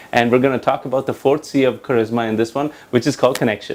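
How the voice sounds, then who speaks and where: A man with a slight Indian accent at a very fast pace. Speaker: leadership trainer and coach. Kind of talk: talking-head tutorial.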